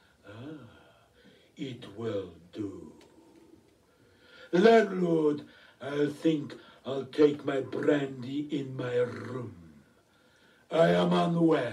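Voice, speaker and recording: A man uses a put-on character voice at medium pitch. He speaks at a very slow pace, with a slight echo. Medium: stage play. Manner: polite, suave.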